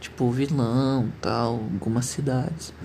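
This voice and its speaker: Amid audible room echo, a man of medium pitch speaks at a very slow pace in a somewhat breathy voice with ordinary pitch variation. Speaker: podcaster. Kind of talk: casual monologue.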